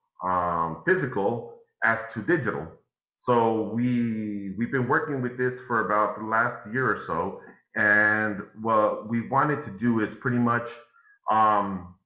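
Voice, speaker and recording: At a medium pitch, a man speaks fairly slowly in a bright, sharp tone with ordinary pitch variation and audible room echo. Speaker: NFT and crypto instructor. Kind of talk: live workshop tutorial.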